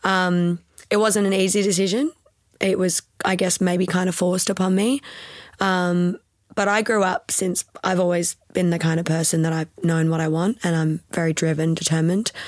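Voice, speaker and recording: A woman with an Australian accent, fairly low pitch, fairly even intonation, very even loudness and a moderate pace, in a dry, close sound with no echo. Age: 20s. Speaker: pilates studio owner, retired physio. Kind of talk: casual interview chat. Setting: podcast recording.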